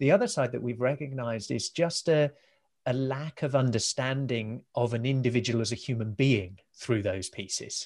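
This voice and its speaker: This is a man with an ordinary speaking voice, at medium pitch and with ordinary pitch variation. He talks at a moderate pace in a very clean recording with a silent background. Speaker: podcast host. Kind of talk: interview conversation.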